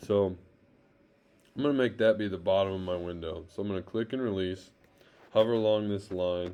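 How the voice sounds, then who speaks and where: A normal speaking voice comes from a man with fairly low pitch and fairly even intonation, his loudness swinging widely. He keeps a moderate pace against a quiet background. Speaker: teacher. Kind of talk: tutorial.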